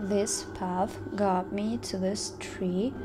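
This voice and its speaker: Against noticeable background noise, a woman talks at a very slow pace. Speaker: vlogger. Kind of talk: casual vlog chat. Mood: nervous, spooked excitement. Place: forest. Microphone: phone near.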